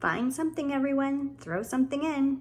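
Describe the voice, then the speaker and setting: Using a put-on character voice, a woman talks at a high pitch and a fairly quick pace. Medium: read story.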